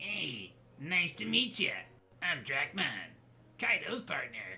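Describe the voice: A man in a put-on character voice speaks at a fairly slow pace and high pitch, swinging very widely in pitch.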